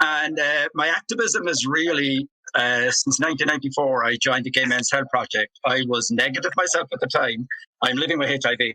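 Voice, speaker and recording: A man with a Cork accent speaks at a fairly high pitch and very even loudness. The sound is dry and close, with no echo. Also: ordinary pitch variation, fairly quick pace. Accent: Irish, Cork. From Ireland. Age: 60s. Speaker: activist. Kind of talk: panel discussion.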